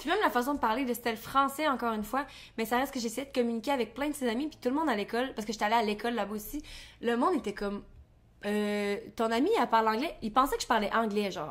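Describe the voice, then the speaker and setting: A woman with a Quebec accent, fairly high in pitch and very fast in pace, on a very clean recording with a silent background. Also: ordinary pitch variation. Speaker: podcast co-host. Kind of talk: casual chat.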